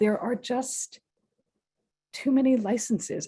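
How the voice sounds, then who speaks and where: This woman's somewhat breathy voice has a dark, mellow tone, a fairly slow pace and fairly even intonation. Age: 60s. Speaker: resident speaking at public meeting. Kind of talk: public comment. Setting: video call.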